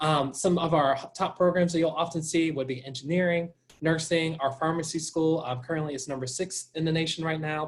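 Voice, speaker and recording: A man with an American accent, fairly high-pitched and somewhat breathy, with monotone, flat intonation. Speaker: college admissions representative. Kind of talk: informational presentation. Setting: video call.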